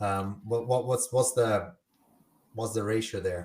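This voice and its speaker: This man has a fairly low pitch and a somewhat breathy voice with a non-native accent. He speaks at a moderate pace. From Italy. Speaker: podcast host and bartender. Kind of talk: casual chat. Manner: animated.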